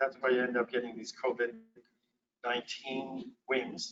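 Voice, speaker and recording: Moderate pace and medium pitch from a male speaker. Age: 60s. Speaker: physician and lecturer. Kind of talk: lecture. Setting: conference presentation with slides.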